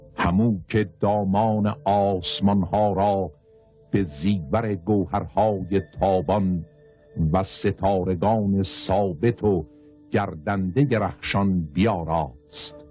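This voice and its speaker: Music plays in the background as the voice moves at a very slow pace. Loudness stays very even, with ordinary pitch variation. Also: man. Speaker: narrator. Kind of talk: religious literary reading.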